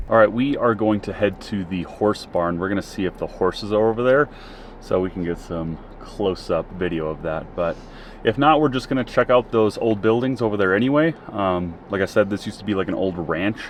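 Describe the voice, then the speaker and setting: A man speaks with a Minnesotan accent at a fairly low pitch. His pace is fairly quick, with ordinary pitch variation. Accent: Minnesota. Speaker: travel and camping vlogger. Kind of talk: casual vlog narration. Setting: outdoors at a campground.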